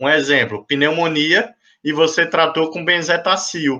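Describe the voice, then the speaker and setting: A man with a fairly high pitch and a bright, sharp, animated tone speaks at a moderate pace. The background is quiet. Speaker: physician lecturer. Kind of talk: lecture.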